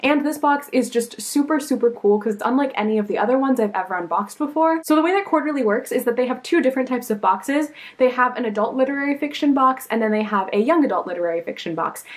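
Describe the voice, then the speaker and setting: The speech comes very fast with lively intonation and hardly any pauses. Noticeable background noise sits behind it. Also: woman, high pitch for a woman. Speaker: book vlogger. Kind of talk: casual talk to camera. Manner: upbeat, excited.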